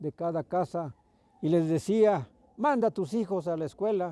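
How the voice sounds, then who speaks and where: Dry and close with no echo, a man's high-pitched voice carries a dark, mellow tone. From Mexico, Milpa Alta (Mexico City). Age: 70s. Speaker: farmer and pulque tapper. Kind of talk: personal reminiscence interview. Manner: halting.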